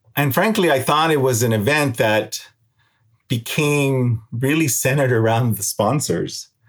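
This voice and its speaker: On a very clean recording with a silent background, a man with a medium pitch speaks somewhat breathily at a fairly slow pace, with very even loudness and ordinary pitch variation. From Mexico and Puerto Rico, raised near San Diego–Tijuana border. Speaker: journalism nonprofit executive. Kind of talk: interview conversation.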